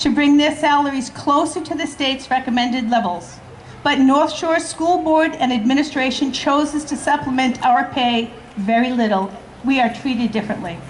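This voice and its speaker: With a Boston accent, a woman speaks at a moderate pace in a high voice with ordinary pitch variation, amid noticeable background noise. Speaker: school support staff union member. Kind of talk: rally speech.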